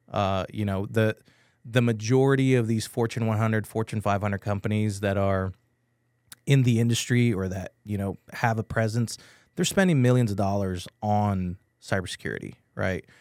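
A man's unremarkable speaking voice, fairly low in pitch, at a moderate pace with fairly even intonation, dry and close with no echo on a very clean recording with a silent background. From Texas, San Antonio. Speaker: IT and cybersecurity business owner. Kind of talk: radio interview. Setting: studio.

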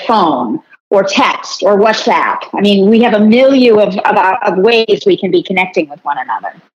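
A woman with a normal speaking voice, lively intonation, and a moderate pace. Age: 50s. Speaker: marketing executive and author. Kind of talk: interview.

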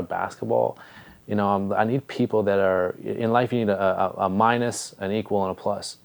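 Speaking at a moderate pace, a man uses a fairly low voice. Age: 20s. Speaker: podcast host. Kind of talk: casual interview chat. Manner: animated.

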